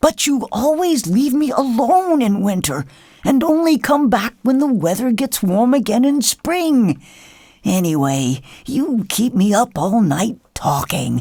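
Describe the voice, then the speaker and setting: A put-on character voice, pitched fairly high with very wide swings in pitch. The pace is fairly slow. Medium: read story.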